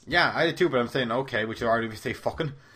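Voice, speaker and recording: Ordinary pitch variation runs through the speech of a man with an American accent. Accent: Irish with an adopted American tone. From Ireland. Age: 20s. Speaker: YouTube gamer. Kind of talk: casual interview chat.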